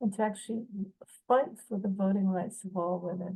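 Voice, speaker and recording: Somewhat breathy, a woman speaks in a dark, mellow tone. Her intonation stays fairly even. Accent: American. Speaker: film producer and writer. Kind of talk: festival video message. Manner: hesitant, many fillers.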